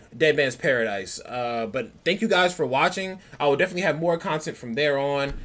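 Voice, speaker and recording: Background noise is noticeable in the clip. The speaker's intonation is lively. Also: man. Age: 20s. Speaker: anime youtuber. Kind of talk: casual chat. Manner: animated; fast.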